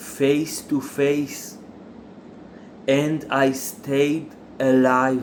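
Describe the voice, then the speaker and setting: Speaking with an Israeli accent, a man uses a fairly high pitch and monotone, flat intonation at a very slow pace with long, frequent pauses and audible room echo. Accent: non-native English, Israeli. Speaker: factory worker sharing religious views. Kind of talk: religious monologue. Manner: halting, many fillers.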